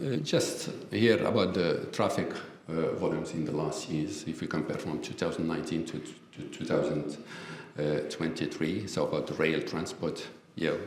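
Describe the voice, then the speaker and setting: A man talks at a moderate speed, with room echo audible and background noise noticeable. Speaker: professor. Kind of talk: lecture. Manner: halting, many fillers.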